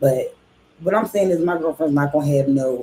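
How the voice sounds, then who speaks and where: With a Philadelphia accent, a woman speaks at a fairly quick pace in a very deep, low voice with a dark, mellow tone and ordinary pitch variation. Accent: Philadelphia speech. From Philadelphia, US. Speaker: reaction streamer. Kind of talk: casual commentary rant. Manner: animated.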